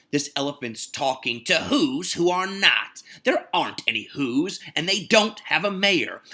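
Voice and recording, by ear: A passage is read aloud. It is done in a natural voice.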